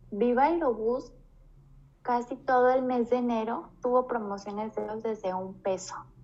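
A woman with a plain, everyday voice, fairly high in pitch with ordinary pitch variation, at a fairly slow pace. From Mexico, Guanajuato (Moroleón). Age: 20s. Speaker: flight attendant. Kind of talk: casual chat.

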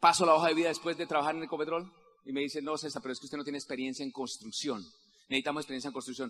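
Talking at a very fast pace, a man uses an animated tone and a fairly high pitch. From Colombia, Santander (Simacota). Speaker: network marketing leader. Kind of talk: motivational convention speech.

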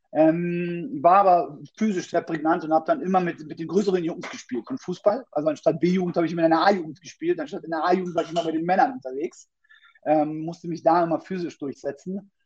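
This man speaks very fast in a high voice with ordinary pitch variation. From Berlin, Germany. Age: 30s. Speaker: fitness coach. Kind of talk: podcast interview.

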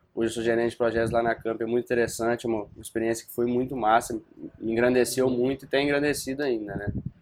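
A man's very fast, monotone, flat delivery over noticeable background noise. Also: medium pitch for a man. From Brazil, Viçosa, Minas Gerais. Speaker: student investor. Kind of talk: casual chat.

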